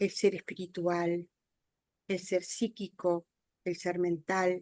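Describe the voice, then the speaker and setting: A woman speaks very slowly at a fairly low pitch with monotone, flat intonation in a dry, close sound with no echo. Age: 60s. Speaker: audience participant in spiritist talk. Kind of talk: Q&A discussion. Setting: video call.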